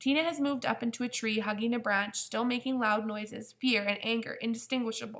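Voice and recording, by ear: Natural-voiced reading aloud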